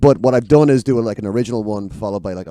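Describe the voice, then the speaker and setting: With a Dublin accent, a man talks at a very fast pace in a dark, mellow tone. His pitch varies in an ordinary way, and the recording is very clean with a silent background. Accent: Dublin Irish. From Ireland, Dublin. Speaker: singer-songwriter. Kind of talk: casual chat. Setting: studio. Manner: halting.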